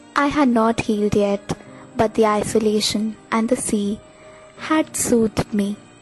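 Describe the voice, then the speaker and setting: A woman's fairly even intonation at a fairly slow pace, with music in the background. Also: very even loudness. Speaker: voice-over artist. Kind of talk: short story narration. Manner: emotional, reflective.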